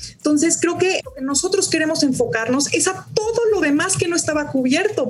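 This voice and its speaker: A woman talks at a moderate pace with lively intonation, over noticeable background noise and audible room echo. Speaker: stock exchange executive. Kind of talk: interview.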